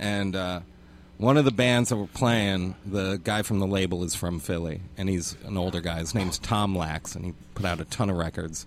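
This man has a plain, everyday voice and a fairly low pitch. He talks at a moderate pace with ordinary pitch variation. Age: 30s. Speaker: guest. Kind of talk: casual chat.

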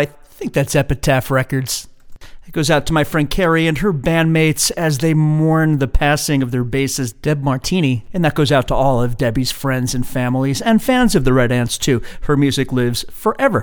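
A man speaks at a moderate pace in a fairly high pitch, with ordinary pitch variation. It is a plain, everyday voice. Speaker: radio host. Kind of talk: radio DJ patter, casual back-announcing of songs. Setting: radio show, live broadcast. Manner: conversational, relaxed, chatty; rattles off track titles and years in an easy ad-lib flow.

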